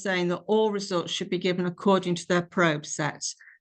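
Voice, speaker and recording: A British accent over a quiet background. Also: woman. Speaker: clinical scientist presenting a webinar. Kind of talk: lecture. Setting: webinar.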